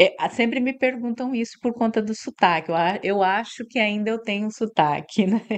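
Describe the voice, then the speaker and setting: A woman speaks with a slight Mato Grosso do Sul accent at a fairly high pitch. She leaves hardly any pauses. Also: ordinary pitch variation, moderate pace. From Mato Grosso do Sul, Brazil (Ponta Porã, Paraguay border). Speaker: university director. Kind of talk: podcast interview. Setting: studio.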